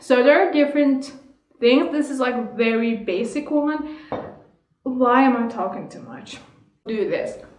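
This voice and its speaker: A high-pitched woman speaks at a fairly slow pace with long, frequent pauses, ordinary pitch variation and big swings in loudness. Music plays in the background, and the room echo is audible. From Iran. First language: Persian. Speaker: vlogger. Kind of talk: casual chat. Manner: halting.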